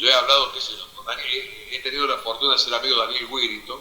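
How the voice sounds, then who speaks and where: Background noise is noticeable, and the room echo is audible. Through it, a man talks fairly quickly. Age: 60s. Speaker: football commentator. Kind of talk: interview. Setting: stage with audience.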